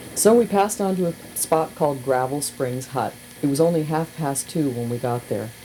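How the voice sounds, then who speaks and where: Over noticeable background noise, a woman speaks at a fairly quick pace with ordinary pitch variation. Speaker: radio host. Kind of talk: reading aloud. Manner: casual.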